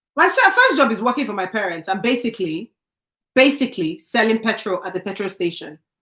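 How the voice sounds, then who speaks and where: In a Nigerian accent, a woman speaks at a moderate pace with an animated tone that is bright and sharp. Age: 30s. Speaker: YouTuber. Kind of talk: live stream chat.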